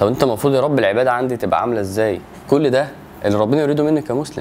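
A man with ordinary pitch variation, over light background noise. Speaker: religious teacher. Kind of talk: lecture. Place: home room.

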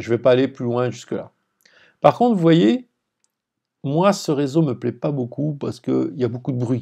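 Against a quiet background, a man with a dark, mellow tone speaks in a medium pitch at a moderate pace, with ordinary pitch variation and long, frequent pauses. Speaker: lecturer. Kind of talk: lecture. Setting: screen-share tutorial video. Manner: didactic, explanatory.

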